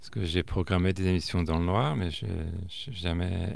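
A man speaks with a very deep, low pitch. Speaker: radio columnist. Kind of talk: interview.

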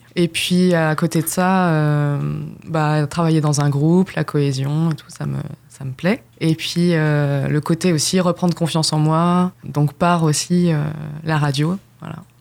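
A woman's very deep, low voice, very slow, with monotone, flat intonation. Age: young. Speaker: former dance teacher in retraining. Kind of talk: radio interview. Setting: radio studio.

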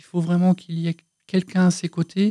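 Her voice sits fairly low for a woman, with a dark, mellow tone. She speaks at a fairly slow pace, and the sound is dry and close with no echo. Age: 50s. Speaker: company director. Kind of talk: testimony.

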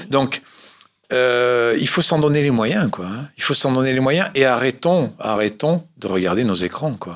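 With a plain, everyday voice, a man talks at a fairly slow pace and medium pitch, his intonation lively. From Corsica. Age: 50s. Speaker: adventurer and motivational speaker. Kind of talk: radio interview.

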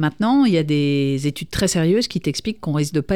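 Recorded very cleanly against a silent background, a woman speaks with a very deep, low pitch and a dark, mellow tone. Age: 50s. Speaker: radio host and professional coach. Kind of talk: coaching radio show.

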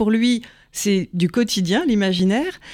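A woman with a plain, everyday voice and a fairly high pitch speaks at a moderate pace on a very clean recording with a silent background. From Paris, France. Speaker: hypnotherapist and psychoanalyst. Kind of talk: interview.

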